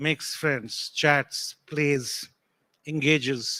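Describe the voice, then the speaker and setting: In a very clean recording with a silent background and a dry, close sound without echo, a man with a non-native accent and fairly high pitch speaks at a very slow pace. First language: not English. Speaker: tech panelist. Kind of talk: panel discussion.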